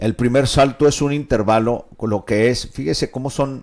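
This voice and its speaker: Moderate-paced speech from a man at medium pitch, with a silent background on a very clean recording. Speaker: pastor and radio host. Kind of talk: radio Bible teaching. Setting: radio studio, live broadcast. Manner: halting with fillers.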